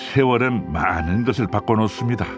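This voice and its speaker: A man speaks very slowly while music plays behind him. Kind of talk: documentary narration.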